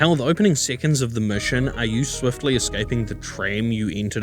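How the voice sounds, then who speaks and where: Medium pitch from a man, ordinary pitch variation, and music in the background. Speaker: game reviewer. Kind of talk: video game review narration. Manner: casual, conversational.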